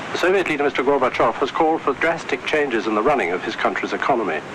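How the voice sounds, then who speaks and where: The voice moves at a very fast pace with lively intonation. Noticeable background noise runs underneath. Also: man. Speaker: radio newsreader. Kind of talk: radio news bulletin read.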